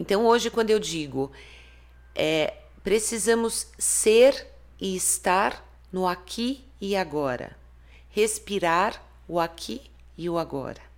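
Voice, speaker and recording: A woman at a medium pitch speaks with vocal fry and lively intonation at a very slow pace, leaving long, frequent pauses, in a very clean recording with a silent background. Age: 50s. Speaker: therapist and author. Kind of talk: interview.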